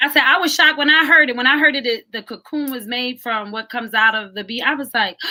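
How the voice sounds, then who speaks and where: A woman speaks at a very fast pace with hardly any pauses, in a raised, projected voice at a high pitch. Her tone is animated, bright and sharp. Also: ordinary pitch variation. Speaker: author. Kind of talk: casual chat. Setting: live video stream.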